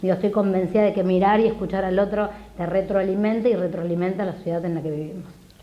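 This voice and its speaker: Amid noticeable background noise and audible room echo, the speech races along at a very fast pace with monotone, flat intonation. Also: woman, medium pitch for a woman. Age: 40s. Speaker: history teacher and political candidate. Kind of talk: TV interview.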